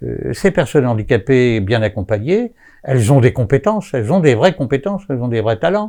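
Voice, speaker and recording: Over a quiet background, a man with a dark, mellow tone and a medium pitch speaks at a moderate pace with very wide pitch swings. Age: 70s. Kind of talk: interview. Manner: hesitant, many filler sounds.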